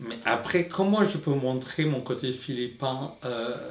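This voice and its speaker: Speaking at a very slow pace, a man uses a medium pitch and lively intonation amid audible room echo and noticeable background noise. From Philippines. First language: Tagalog (speaking French). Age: 20s. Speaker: drag queen. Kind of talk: personal testimony. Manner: halting, many repetitions and fillers.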